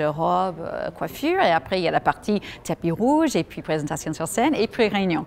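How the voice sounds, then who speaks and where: A woman with an American accent talks at a moderate pace and medium pitch, her pitch swinging very widely. The recording is very clean, with a silent background. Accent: American accent when speaking French. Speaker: journalist and master of ceremonies. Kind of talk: interview. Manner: spontaneous.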